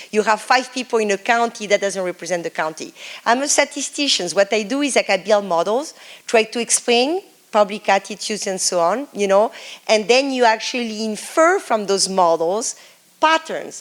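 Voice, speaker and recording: A woman speaks at a fairly high pitch in a French accent. Her intonation is lively. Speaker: professor. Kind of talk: lecture.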